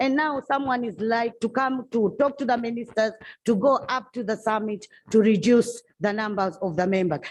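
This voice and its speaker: A woman speaks at a moderate pace. Her pitch is fairly high, with ordinary pitch variation. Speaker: legislator. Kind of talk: parliamentary debate. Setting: parliament chamber. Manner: loud.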